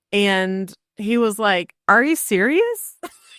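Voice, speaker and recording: A woman speaks in a fairly high pitch with an Oklahoma accent. The recording is very clean and dry, close with no echo, over a silent background. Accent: Oklahoman, described as weird by herself. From Oklahoma, Cherokee Nation area. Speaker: real estate agent. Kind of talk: casual chat.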